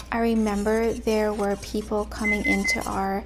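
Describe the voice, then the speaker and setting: Soft-spoken delivery at a very slow pace. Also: woman. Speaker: lifestyle vlogger. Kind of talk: soft-spoken casual talk to camera.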